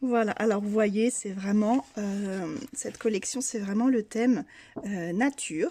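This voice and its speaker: Speaking at a very slow pace, a woman has a dark, mellow tone, a fairly high pitch and ordinary pitch variation. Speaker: craft youtuber. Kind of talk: product unboxing haul. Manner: hesitant, many fillers.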